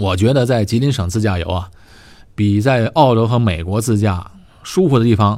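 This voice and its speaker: A man's fairly low voice with ordinary pitch variation at a moderate pace, in a very clean recording with a silent background. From Tianjin, northern China. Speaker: podcast host. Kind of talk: casual monologue.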